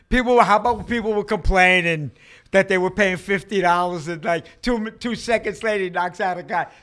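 With a New York accent, a man with a high voice and a bright, sharp tone talks at a fairly quick pace with ordinary pitch variation against a quiet background. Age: 60s. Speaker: hardcore punk musician; podcast guest. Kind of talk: casual chat. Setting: in a bar. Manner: animated. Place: studio. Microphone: studio mic.

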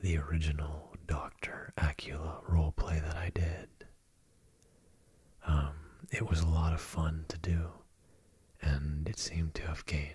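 A man whispers in a soft-spoken, somewhat breathy way, leaving long, frequent pauses. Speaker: ASMR roleplay creator. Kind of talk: casual Q&A chat. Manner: soft close-mic male whisper. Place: home room. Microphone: studio mic.

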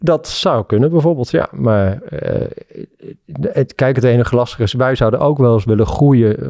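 Speaking at a moderate pace and medium pitch, a man has a dark, mellow tone and ordinary pitch variation, recorded dry with no echo against a quiet background. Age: 40s. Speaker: entrepreneur; guest. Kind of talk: interview. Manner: halting. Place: studio. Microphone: studio mic.

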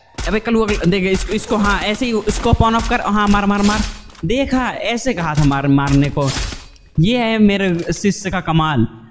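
Noticeable background noise sits behind a man's voice. He has a high pitch with ordinary pitch variation. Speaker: gamer doing comedic commentary. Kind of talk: funny gameplay commentary. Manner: joking, boastful, excitable.

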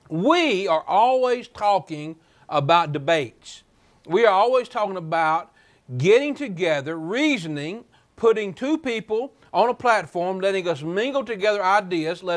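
This man has a high pitch and lively intonation at a moderate pace. The background is quiet. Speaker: preacher and show host. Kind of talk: televised Bible study. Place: studio.

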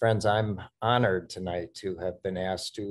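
Against a quiet background, a man with a very deep, low pitch speaks at a moderate pace in a monotone, flat intonation. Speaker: seminary president. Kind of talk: welcome remarks at online event. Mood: warm, smiling. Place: home room. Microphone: webcam.

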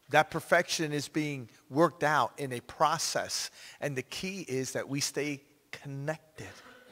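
At a fairly slow pace, a man talks in a fairly high pitch with a bright, sharp tone and fairly even intonation. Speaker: pastor. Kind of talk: prayer. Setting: church. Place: church.

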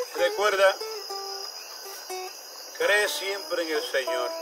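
At a fairly slow pace, a man talks while music sounds behind him. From Puerto Rico. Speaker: poetry reciter. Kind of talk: heartfelt toast to friends at a gathering. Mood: warm, devout, heartfelt. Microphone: camera far.

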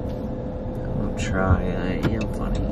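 A man is mumbling. Music plays in the background. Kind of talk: casual vlog chat. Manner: groggy, mumbled speech through a numb jaw. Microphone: phone near.

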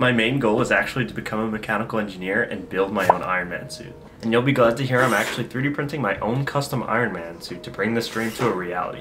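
A man speaks at a very fast pace in an upbeat tone, with music playing in the background. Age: 20s. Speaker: mechanical engineer. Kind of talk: casual vlog narration. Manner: upbeat, casual. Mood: cheerful, smiling. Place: home room. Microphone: studio mic.

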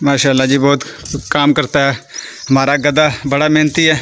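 A man's medium-pitched voice, clear and smooth with a fairly bright tone, moves little in pitch at a moderate pace.

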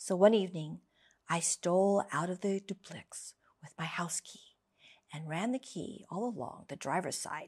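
A woman speaks at a fairly slow pace with a fairly low pitch. Her pitch varies in an ordinary way over a quiet background. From United States. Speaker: English teacher. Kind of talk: story reading for language learners. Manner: slow, clear. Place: studio. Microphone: studio mic.

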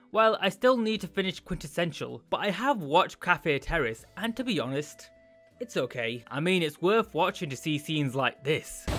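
The man keeps a moderate pace while faint music plays behind him. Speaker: anime reviewer. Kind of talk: casual commentary. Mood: joking, playful.

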